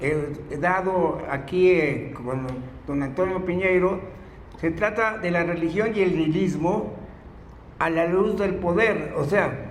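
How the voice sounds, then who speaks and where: Over noticeable background noise and audible room echo, a man with a central Mexican accent and a high pitch speaks at a very slow pace with long, frequent pauses and ordinary pitch variation. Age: 80s+. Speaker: philosophy lecturer. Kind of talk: lecture. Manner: halting.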